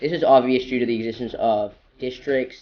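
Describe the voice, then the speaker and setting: The man's voice sits at a medium pitch and keeps a monotone, flat intonation. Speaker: YouTube theory video narrator. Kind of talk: game lore theory narration. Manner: some stammering and pauses.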